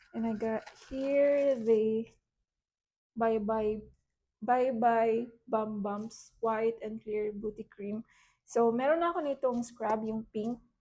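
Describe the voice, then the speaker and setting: Very slowly, a woman speaks at a fairly high pitch with a dark, mellow tone. Her intonation stays fairly even. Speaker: beauty vlogger. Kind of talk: product haul vlog. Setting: at home. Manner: casual, code-switching.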